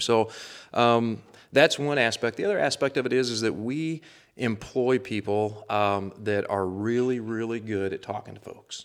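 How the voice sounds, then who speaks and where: A man speaks with an American accent. His pitch is fairly low, with ordinary pitch variation. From northern Missouri. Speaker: conservation warden. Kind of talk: casual interview. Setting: studio.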